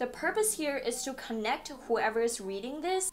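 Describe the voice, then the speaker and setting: Over music in the background, the speaker uses lively intonation and a non-native accent at a moderate pace. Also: woman. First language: not English. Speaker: online business tutorial creator. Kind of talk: tutorial. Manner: casual, conversational.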